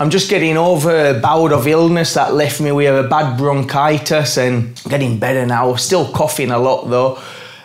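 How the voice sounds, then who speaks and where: With an English accent, a man speaks at a moderate pace in fairly even intonation. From England. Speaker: gardening YouTuber. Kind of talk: casual vlog address to viewers. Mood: warm, grateful. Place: home room.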